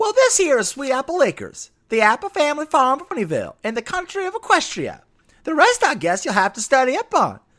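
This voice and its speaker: This man uses a put-on character voice at an extremely high pitch. He moves at a fairly quick pace with very wide pitch swings. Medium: read story. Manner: folksy, plainspoken.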